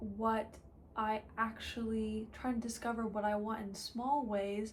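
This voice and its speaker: In a fairly high voice, a woman speaks with monotone, flat intonation. The room echoes audibly, and background noise is noticeable. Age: 20s. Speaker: lifestyle vlogger. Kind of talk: casual chat.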